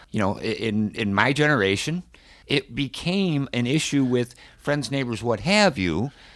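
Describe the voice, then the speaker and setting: A man speaks at a moderate pace with very wide pitch swings. The recording is very clean, with a silent background. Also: medium pitch for a man. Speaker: cancer survivor and internet radio host. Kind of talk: interview. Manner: energetic, lively.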